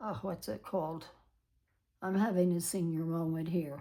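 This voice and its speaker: A woman speaks with a dark, mellow tone. Her pitch is medium. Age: 80s+. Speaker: planner video creator. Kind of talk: tutorial. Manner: halting.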